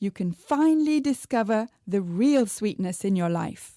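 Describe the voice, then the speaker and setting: Lively intonation marks an ordinary speaking voice delivered at a moderate pace. The background is silent, and the recording very clean. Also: woman. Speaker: podcast host. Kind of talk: podcast intro.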